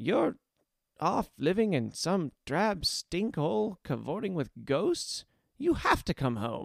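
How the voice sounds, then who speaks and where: A put-on character voice speaks at a fairly slow pace with very wide pitch swings. The recording is very clean, with a silent background. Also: man, high pitch for a man. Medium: read story. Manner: chipper, coaxing, warm.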